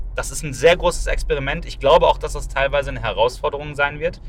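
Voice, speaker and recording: Noticeable background noise surrounds the voice. A man delivers it at a fairly quick pace. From Ruhr area, Germany. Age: 30s. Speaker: magician and podcast host. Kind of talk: casual chat. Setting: in a car. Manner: animated.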